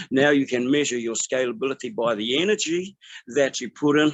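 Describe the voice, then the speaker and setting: Pitch variation stays ordinary as a man delivers his words at a fairly quick pace. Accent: New Zealand. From New Zealand (Māori). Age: 60s. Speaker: business networker sharing testimony. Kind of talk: testimony. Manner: halting, many fillers.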